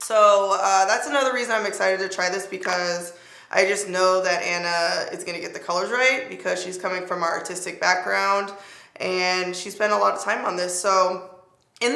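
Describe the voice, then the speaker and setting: Audible room echo and noticeable background noise surround a medium-pitched woman speaking at a moderate pace. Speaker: beauty youtuber. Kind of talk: makeup review tutorial. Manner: casual, animated.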